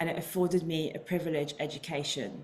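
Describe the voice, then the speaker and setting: Speaking at a fairly quick pace, a woman uses a fairly low voice with ordinary pitch variation. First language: Indian language. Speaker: leadership coach and founder. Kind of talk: prepared talk.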